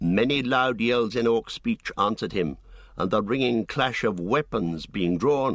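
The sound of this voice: The text is read in an unforced reading voice, and the intonation stays lively.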